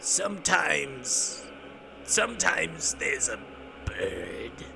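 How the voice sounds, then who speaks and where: Whispering in a creaky, put-on character voice, a man speaks at a very slow pace over clear background noise. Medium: read story. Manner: theatrical, rambling.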